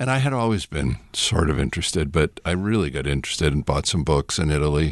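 The voice carries vocal fry. The background is quiet. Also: man. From New England, with teen years in Mexico and Spain. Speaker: seminary professor and pastor. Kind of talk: casual interview. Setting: studio.

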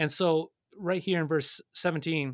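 Speaking fairly slowly, a man talks with an Upper Midwest accent. The sound is dry and close with no echo, and the recording is very clean over a silent background. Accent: Upper Midwest American. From North Dakota. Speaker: pastor. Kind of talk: radio Bible study discussion. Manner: halting, many fillers and repeats.

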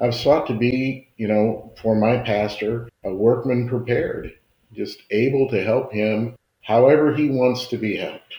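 Somewhat breathy, with a dark, mellow tone, a man speaks at a medium pitch, a fairly slow pace and fairly even intonation. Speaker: layman, engineer, church elder. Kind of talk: casual conversational testimony.

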